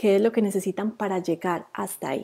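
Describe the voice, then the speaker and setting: The recording is very clean, with a silent background. A woman with a dark, mellow tone speaks at a medium pitch and a moderate pace, with fairly even intonation. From Colombia, Antioquia (near Medellín). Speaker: social media marketing coach, agency owner. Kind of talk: live stream talk to viewers. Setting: Facebook Live video. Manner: halting, with repetitions and fillers.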